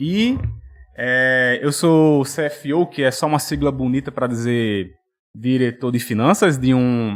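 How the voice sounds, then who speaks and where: A man with a strong potiguar accent. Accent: thick Potiguar (Rio Grande do Norte). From Brazil, Rio Grande do Norte (Natal). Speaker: finance executive and financial educator. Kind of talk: podcast interview. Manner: hesitant, many fillers.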